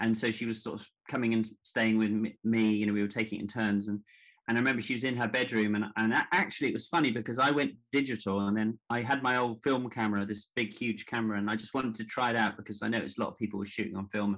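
A man with a southern English accent, medium pitch, fairly even intonation and a very fast pace. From Devon, south-west England. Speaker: portrait photographer. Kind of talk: interview conversation. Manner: halting, many fillers.

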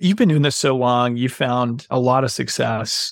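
In a very clean recording with a silent background, a man with an American accent has an ordinary speaking voice at medium pitch and a moderate pace. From North Carolina, Boone (mountains). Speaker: podcast host. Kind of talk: interview.

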